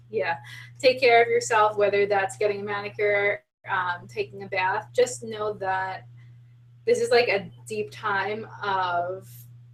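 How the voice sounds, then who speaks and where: Speaking at a fairly slow pace, a woman with an American accent uses lively intonation at a medium pitch. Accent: Long Island, comes out heavy at times. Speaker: spiritual podcast co-host. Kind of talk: casual chat.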